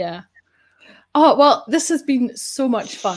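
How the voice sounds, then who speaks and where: A woman speaks in a Scottish accent with ordinary pitch variation. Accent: Scottish, kept. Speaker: data show host. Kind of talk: casual interview chat. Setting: live online show.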